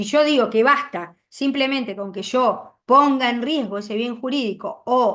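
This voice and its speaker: Speaking at a fairly slow pace, a woman uses a high voice with ordinary pitch variation. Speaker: law lecturer. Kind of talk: lecture.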